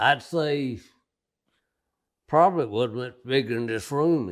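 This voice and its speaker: In a very clean recording with a silent background, a man with a medium pitch speaks with lively intonation. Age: 80s+. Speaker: family storyteller. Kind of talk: interview answer.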